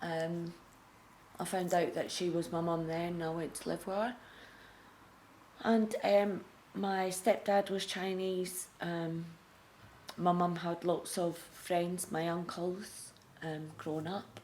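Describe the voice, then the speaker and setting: A woman's fairly low voice in a Scottish accent, monotone and flat, very slow, with long, frequent pauses and audible room echo. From Scotland. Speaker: recovering addict sharing her story. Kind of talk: testimony. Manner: halting, many fillers.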